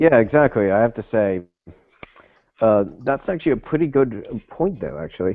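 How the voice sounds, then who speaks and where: A man with a Canadian accent speaks at a moderate pace and a medium pitch, with very wide pitch swings. Long, frequent pauses break up his speech. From Canada. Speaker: podcast co-host. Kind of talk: casual chat.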